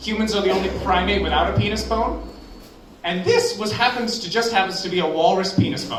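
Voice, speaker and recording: Noticeable background noise sits behind a man with an American accent talking at a fairly quick pace. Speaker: amateur stand-up comedian. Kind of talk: stand-up comedy set. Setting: live open mic on stage.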